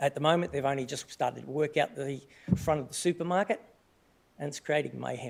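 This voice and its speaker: A man with an Australian accent talks very fast in a fairly high voice. His pitch varies in an ordinary way, and vocal fry runs through his speech. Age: 60s. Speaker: resident asking question at council meeting. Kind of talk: public question at council meeting. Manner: halting, many fillers and restarts.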